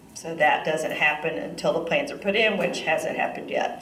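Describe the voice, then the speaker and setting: A woman with an American accent speaks with ordinary pitch variation, with audible room echo and noticeable background noise. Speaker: attendee. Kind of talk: public meeting remarks. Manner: loud.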